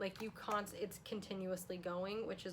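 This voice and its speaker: A woman talks at a fairly quick pace and medium pitch. Noticeable background noise runs underneath. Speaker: beauty youtuber. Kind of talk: makeup tutorial vlog. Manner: fast; animated.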